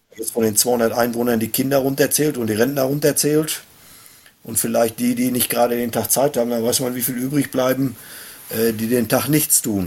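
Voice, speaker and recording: Fairly even intonation from a man at medium pitch, moderate in pace, amid noticeable background noise. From Germany, Hochsauerland (Sauerland). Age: 50s. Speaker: sports club chairman and race organizer. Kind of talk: casual chat.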